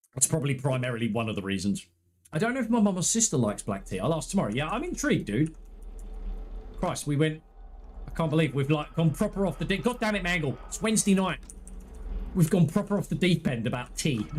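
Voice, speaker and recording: Speaking at a very fast pace, a man uses a fairly high pitch with very wide pitch swings and vocal fry. He takes long, frequent pauses. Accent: English. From England. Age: 30s. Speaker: gaming streamer. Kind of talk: live gameplay stream chat. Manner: animated.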